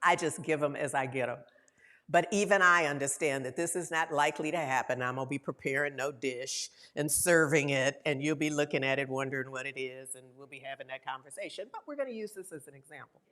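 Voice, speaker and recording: A woman's very deep, low voice at a very fast pace, with big swings in loudness. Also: ordinary pitch variation. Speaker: minister. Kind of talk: sermon. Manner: conversational.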